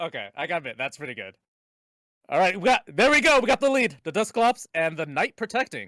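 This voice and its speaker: In a raised, projected voice, a man makes very wide pitch swings, recorded with a dry, close sound and no echo. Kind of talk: live game commentary, excited.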